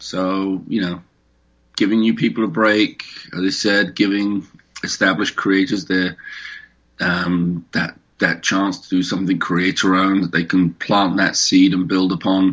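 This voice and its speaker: A man with a British accent and a very deep, low pitch speaks at a fairly slow pace with fairly even intonation. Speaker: comic creator and publisher. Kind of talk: interview.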